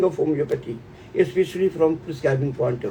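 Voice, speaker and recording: Against noticeable background noise, a man with an Indian accent talks with lively intonation. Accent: Indian accent, self-noted. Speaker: homeopathy teacher. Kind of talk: webinar closing remarks.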